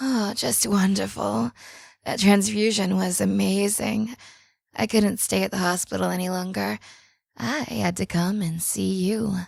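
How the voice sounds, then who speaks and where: A female-sounding voice puts on a raspy character voice at a medium pitch. It moves at a moderate pace in a very clean recording with a silent background. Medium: audio drama. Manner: tense, excited.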